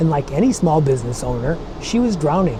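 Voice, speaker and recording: This man's voice is fairly high and moves at a moderate pace. Noticeable background noise and audible room echo surround it. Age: 60s. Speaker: tech explainer channel host. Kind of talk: scripted channel introduction. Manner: friendly, conversational.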